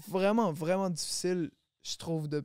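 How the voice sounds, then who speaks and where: Very clean and silent in the background, the recording has a dry, close sound with no echo. A man speaks at a high pitch and a moderate pace, with ordinary pitch variation. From Quebec, Longueuil (Montreal area). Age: 20s. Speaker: rapper. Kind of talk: casual chat.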